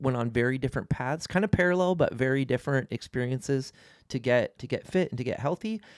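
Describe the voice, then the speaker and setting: A man at a fairly quick pace with lively intonation, an ordinary speaking voice, and a dry, close sound with no echo in a very clean recording with a silent background. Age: 40s. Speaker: family vlogger. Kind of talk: casual chat.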